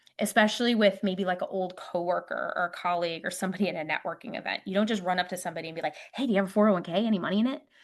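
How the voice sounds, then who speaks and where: A woman speaks at a very fast pace with hardly any pauses, medium in pitch with ordinary pitch variation. The background is quiet. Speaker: retirement account investing expert. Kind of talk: presentation at a meetup. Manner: animated.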